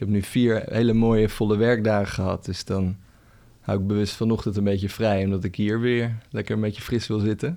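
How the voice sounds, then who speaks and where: Against a quiet background, a man with a dark, mellow tone and fairly low pitch speaks at a fairly quick pace in a monotone, flat intonation. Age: 30s. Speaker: coach. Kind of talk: casual chat.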